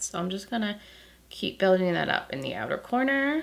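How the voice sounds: A woman's croaky, creaky voice with vocal fry, big pitch swings and a fairly quick pace, plus audible room echo.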